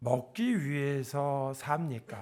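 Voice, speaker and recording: There is audible room echo as a man talks at a fairly high pitch. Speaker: guest preacher. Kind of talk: sermon. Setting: church service.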